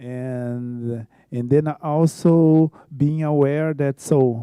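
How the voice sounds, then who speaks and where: A man talks with a Brazilian Portuguese accent in a dark, mellow tone. The sound is dry and close, with no echo. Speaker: choreographer. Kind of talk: conference talk. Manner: halting.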